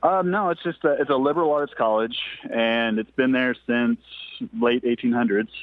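A man with an American accent talks at a moderate pace and medium pitch, lively in intonation, in an ordinary speaking voice. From Ozarks, Missouri. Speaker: caller, graphic designer. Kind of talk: casual chat. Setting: phone call while driving.

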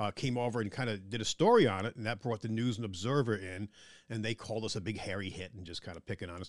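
A man in a New York accent, fairly low in pitch with ordinary pitch variation, at a very fast pace with big swings in loudness, in a dry, close sound with no echo and a quiet background. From Long Island, New York. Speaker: museum curator. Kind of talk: interview. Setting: office in a museum.

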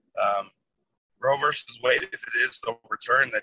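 A man with a Midwestern American accent, at a moderate pace. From Toledo, Ohio, US Midwest. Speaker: political candidate, Air Force veteran. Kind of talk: interview. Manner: hesitant with many fillers. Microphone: cutting in and out.

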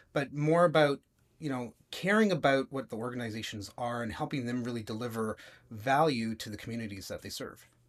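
A man with a normal speaking voice and a Canadian accent, fairly quick in pace with ordinary pitch variation, very cleanly recorded over a silent background. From Toronto, Canada. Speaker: web design agency founder. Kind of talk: casual interview chat.

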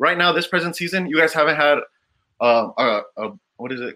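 With an American accent, a man uses a bright, sharp tone with vocal fry, lively intonation, and a moderate pace. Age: 20s. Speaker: football fan. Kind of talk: heated debate.

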